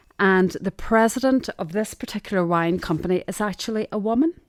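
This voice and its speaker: A woman with a strong Derry accent at a moderate pace, ordinary pitch variation, on a very clean recording with a silent background. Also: dry, close sound with no echo. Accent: Derry accent, still strong. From Northern Ireland, Derry. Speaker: sourcing manager. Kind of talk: interview conversation.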